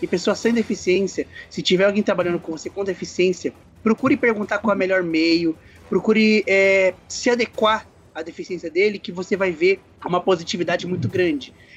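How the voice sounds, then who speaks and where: A man speaks fairly quickly at a high pitch, with ordinary pitch variation and music playing in the background. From São Paulo, Brazil. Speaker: visually impaired RPG player. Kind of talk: casual chat.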